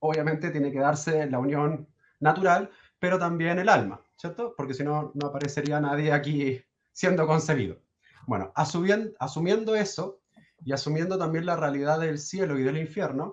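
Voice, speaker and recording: Moderate pace and ordinary pitch variation in a Chilean accent. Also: man, fairly high pitch for a man. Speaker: caller asking a priest questions. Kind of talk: casual Q&A conversation. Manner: halting.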